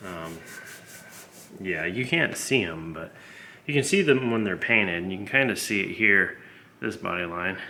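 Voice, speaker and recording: In a room with audible echo, a man with a fairly low pitch and a bright, sharp tone speaks at a moderate pace with lively intonation, big swings in loudness and long, frequent pauses. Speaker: hobbyist car restorer. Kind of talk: workshop tutorial vlog. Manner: casual, rambling.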